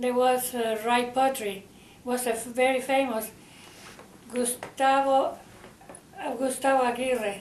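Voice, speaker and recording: With a Spanish accent, a woman speaks at a fairly slow pace in a high voice with fairly even intonation and long, frequent pauses, amid noticeable background noise and audible room echo. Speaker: interviewee. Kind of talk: oral history interview. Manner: halting.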